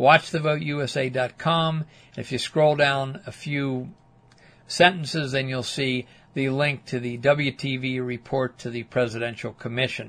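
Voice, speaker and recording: Using a plain, everyday voice with an American accent, a man speaks fairly slowly at a medium pitch with fairly even intonation. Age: 60s. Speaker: political activist. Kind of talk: reading aloud.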